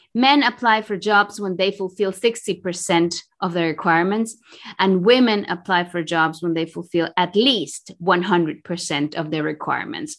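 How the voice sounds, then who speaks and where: A woman with a Spanish accent and medium pitch speaks at a moderate pace with hardly any pauses and ordinary pitch variation, against a quiet background. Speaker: executive coach. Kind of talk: interview. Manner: halting.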